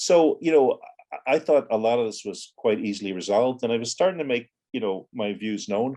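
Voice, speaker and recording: Speaking at a moderate pace with an American accent, the voice has a dark, mellow tone. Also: man. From Ireland, raised from teens after US childhood. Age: 60s. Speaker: former militant and author. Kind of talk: interview.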